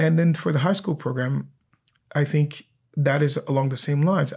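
A somewhat breathy man speaks at a fairly high pitch and a fairly quick pace. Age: 40s. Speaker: opera singer. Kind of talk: casual chat.

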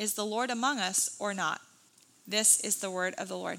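A woman's ordinary speaking voice, fairly high in pitch, with ordinary pitch variation at a fairly quick pace. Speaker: church service reader. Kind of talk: scripture reading aloud. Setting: church.

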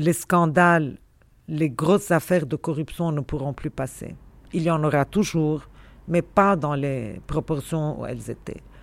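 Very clean and set against a silent background, this recording has a woman speaking fairly slowly in a very deep, low pitch with vocal fry and ordinary pitch variation. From Lebanon, Beirut. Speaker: university dean and historian. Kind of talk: interview.

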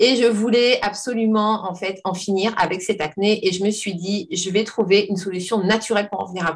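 Somewhat breathy and at medium pitch, a woman talks at a fairly quick pace with fairly even intonation and hardly any pauses. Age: 40s. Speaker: personal development coach. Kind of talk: interview.

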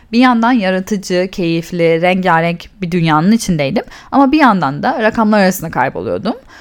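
A woman's unremarkable speaking voice at medium pitch, with lively intonation and a moderate pace. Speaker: podcast host and cosmetics entrepreneur. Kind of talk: solo storytelling podcast.

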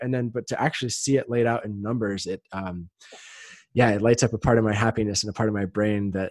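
With a plain, everyday voice, a man talks at a fairly quick pace in a fairly low pitch with ordinary pitch variation, recorded in a dry, close sound with no echo against a quiet background. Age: 30s. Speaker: sex coach. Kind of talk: casual chat.

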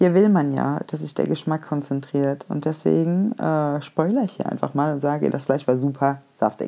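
Ordinary pitch variation and a dark, mellow tone mark a woman speaking at a moderate pace. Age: 20s. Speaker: food podcaster. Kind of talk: casual monologue. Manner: many filler words.

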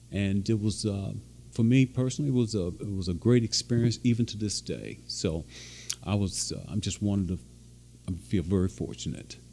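At a moderate pace, a man talks in a fairly low pitch with a dark, mellow tone and very wide pitch swings. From western Kentucky. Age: 60s. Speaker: former college football player. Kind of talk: interview.

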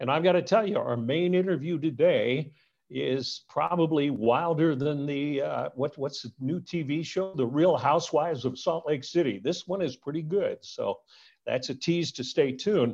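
Speaking in a normal speaking voice, a man with a fairly high pitch keeps a moderate pace and ordinary pitch variation. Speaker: podcast host. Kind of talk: casual interview chat. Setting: video call.

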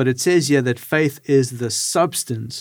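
Speaking at a fairly slow pace, a man uses an ordinary speaking voice at medium pitch. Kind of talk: casual panel discussion.

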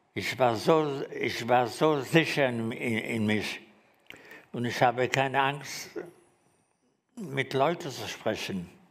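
At a very slow pace, a man with a medium-pitched voice and ordinary pitch variation speaks with long, frequent pauses, and the room echo is audible. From Germany, Frankfurt. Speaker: Holocaust survivor. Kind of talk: testimony. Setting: stage with audience. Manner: halting.

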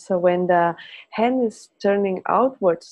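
Her intonation is lively. This woman talks in a Spanish accent. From Spain. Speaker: Feldenkrais teacher. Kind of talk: interview conversation; guided movement lesson.

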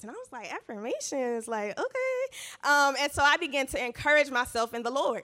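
Projecting a raised voice, a woman talks at a moderate pace in a high pitch, her tone animated, bright and sharp. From US South, Georgia. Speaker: church speaker. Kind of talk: testimony talk.

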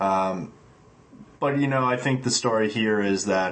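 A man speaks in a plain, everyday voice at a medium pitch. His pace is fairly slow and his intonation fairly even. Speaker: podcast co-host. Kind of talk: casual sports podcast chat.

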